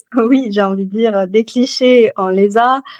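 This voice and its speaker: A woman speaks in a Toulouse accent. Her pace is very slow and her intonation fairly even. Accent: southern French (Toulouse). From Toulouse, southern France. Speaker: novelist. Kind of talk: interview answer.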